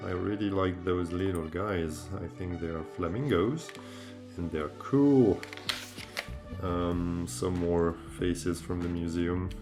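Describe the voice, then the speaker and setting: With a French accent, a man speaks at a very slow pace in a very deep, low voice with ordinary pitch variation. Long, frequent pauses break his speech while music plays in the background. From France. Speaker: amateur artist. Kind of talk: casual talk to camera, sketchbook tour. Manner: casual, hesitant.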